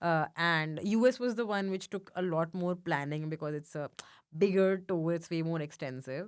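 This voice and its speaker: In a strong Indian accent, a woman speaks at a moderate pace with a fairly low pitch and ordinary pitch variation, on a very clean recording with a silent background. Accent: thick Indian. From India, Mumbai. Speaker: stand-up comedian. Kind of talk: casual chat. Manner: halting, many fillers.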